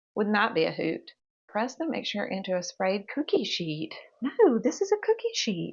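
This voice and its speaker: In a Mississippi accent, a woman talks at a moderate pace with lively intonation and an animated tone. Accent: Mississippi Southern dialect. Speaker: home cooking video creator. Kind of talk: cooking tutorial.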